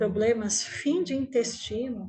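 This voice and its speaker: Very slow, soothing speech from a woman with ordinary pitch variation, music playing in the background. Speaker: meditation teacher. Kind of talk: guided meditation.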